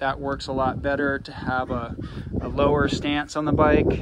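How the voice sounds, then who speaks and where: A man keeps a middling tempo while loud noise fills the background. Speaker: bike owner reviewing his e-bike. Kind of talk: casual review walkthrough. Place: street. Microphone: phone near.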